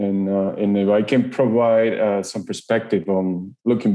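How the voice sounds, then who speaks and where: A man speaks at a fairly slow pace with a fairly low pitch. His intonation is monotone and flat. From Ecuador. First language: Spanish. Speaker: engineering manager. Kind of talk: podcast interview. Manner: halting, many fillers and repetitions.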